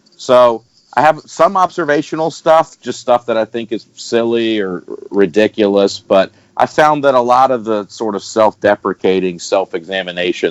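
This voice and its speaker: A man with a Southern US accent speaks at a medium pitch and moderate pace, his pitch swinging very widely, in a dry, close sound with no echo. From Alabama, US. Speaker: stand-up comedian. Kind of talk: podcast interview answer. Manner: casual, conversational.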